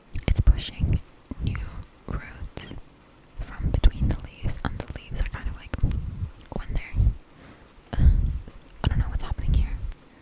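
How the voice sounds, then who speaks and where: Over noticeable background noise, a woman whispers with long, frequent pauses and big swings in loudness. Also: moderate pace. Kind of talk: ASMR plant tour. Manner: whispered.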